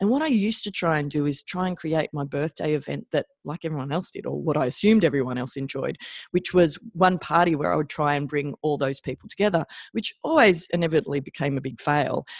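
The speaker has an Australian accent and talks at a very fast pace. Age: 40s. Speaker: chiropractor and podcast host. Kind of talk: solo podcast monologue.

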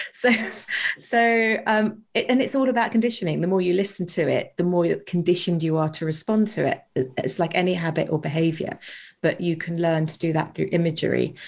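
A woman with a British accent, fairly low-pitched with ordinary variation, at a fairly quick pace on a very clean recording with a silent background. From UK. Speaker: hypnotherapist and author. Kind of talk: interview.

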